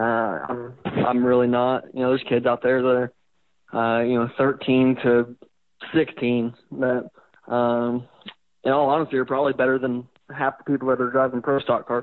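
A man in a monotone, flat intonation, broken by long, frequent pauses. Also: medium pitch for a man, moderate pace. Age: young. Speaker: racing driver. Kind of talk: interview. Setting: phone call. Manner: halting.

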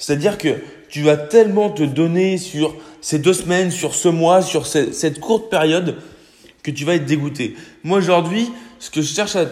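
The man's voice sits high, with ordinary pitch variation and long, frequent pauses at a moderate pace. Noticeable background noise runs underneath. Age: 20s. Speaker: fitness and nutrition podcaster. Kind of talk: casual solo podcast advice.

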